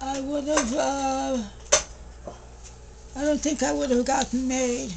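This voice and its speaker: A woman talks with a high pitch and monotone, flat intonation at a fairly slow pace. Background noise is noticeable. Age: 80s+. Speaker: retired hairdresser. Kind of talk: interview answer.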